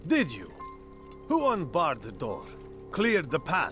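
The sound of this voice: Doing a put-on character voice, a man speaks at a slow pace with very wide pitch swings and a fairly bright tone, faint music playing in the background. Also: fairly high pitch for a man.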